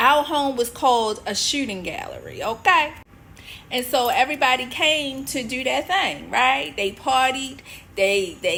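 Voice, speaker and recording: Raising and projecting her voice, a woman with a Baltimore accent speaks at a high pitch with an animated tone. She goes at a fairly slow pace with ordinary pitch variation. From US, Baltimore, Maryland. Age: 50s. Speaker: author and women's faith coach. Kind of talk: personal testimony. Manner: conversational, animated.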